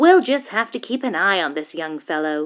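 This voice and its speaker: A woman uses a put-on character voice at a medium pitch. Her pitch swings very widely. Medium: read story. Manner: measured, reassuring.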